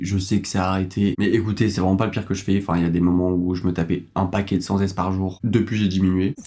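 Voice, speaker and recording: The tone is dark and mellow. The delivery is very fast. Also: man. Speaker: YouTuber. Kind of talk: casual talk to camera. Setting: studio.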